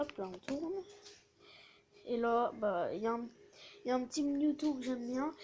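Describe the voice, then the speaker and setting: This woman talks at a moderate pace in a high voice with lively intonation. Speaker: YouTuber showing card collection. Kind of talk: casual show-and-tell. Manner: casual, animated.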